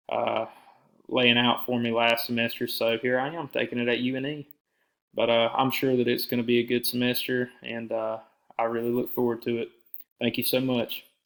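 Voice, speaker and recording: A man with a Southern US accent talks at a moderate pace, his medium-pitched voice flat and monotone. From US South, south Georgia (Alma). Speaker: university student. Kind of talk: self-introduction to a professor. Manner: casual with fillers.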